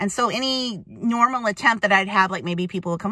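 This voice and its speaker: This woman has a bright, sharp tone and ordinary pitch variation at a fairly quick pace. The sound is dry with no echo, over a quiet background. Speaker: vlogger. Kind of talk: casual vlog chat. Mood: reluctant, chatty. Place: car. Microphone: phone near.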